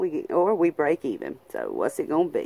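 In a Southern US accent, a woman speaks in an upbeat tone with very wide pitch swings. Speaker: lottery scratch-off YouTuber. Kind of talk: casual talk to camera. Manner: chatty, upbeat.

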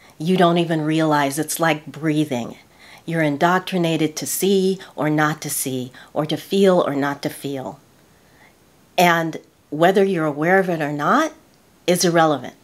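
A woman speaks with a very deep, low pitch and fairly even intonation, leaving long, frequent pauses. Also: moderate pace. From United States. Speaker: lifestyle YouTuber. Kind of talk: casual talk to camera. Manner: earnest, reflective. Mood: earnest, reflective. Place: home room.

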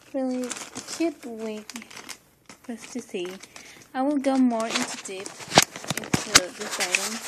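A woman with a high voice speaks at a fairly slow pace with ordinary pitch variation, long and frequent pauses, and loud background noise. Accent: non-native. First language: not English. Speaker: unboxing vlogger. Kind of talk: casual unboxing talk to camera. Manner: upbeat. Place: home room. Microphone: phone near.

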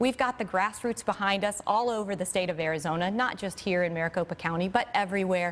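A woman talks at a very fast pace with hardly any pauses. Her pitch shows ordinary variation. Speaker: physician and Senate candidate. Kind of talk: TV interview. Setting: studio. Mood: firm, indignant at times. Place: studio. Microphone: lapel.

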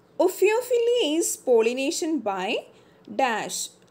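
A woman's pitch swings very widely as she speaks. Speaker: exam prep tutor. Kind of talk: tutorial.

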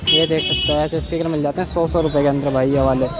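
A man's fairly high voice at a fast pace, with fairly even intonation over clear background noise

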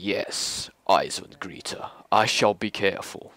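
A man in a put-on character voice. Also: fairly low pitch for a man, fairly slow pace. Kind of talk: formal, archaic. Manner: silly, put-on.

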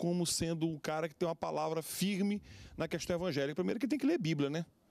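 Here is a man with an ordinary speaking voice. His pitch is fairly high and his intonation lively. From Brazil, Acre. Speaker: pastor and lawyer; pastor, lawyer. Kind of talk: TV panel discussion. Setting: TV studio. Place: studio. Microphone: handheld.

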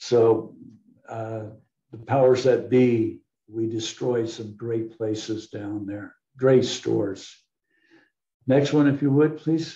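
A man's very slow, somewhat breathy, dark and mellow voice, with long, frequent pauses, big swings in loudness, audible room echo and a quiet background. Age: 80s+. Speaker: bottle collector and local historian presenting his book; guest. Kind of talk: illustrated history presentation with Q&A. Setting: video call webinar. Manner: rambling, conversational with frequent fillers. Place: home room. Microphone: video call.

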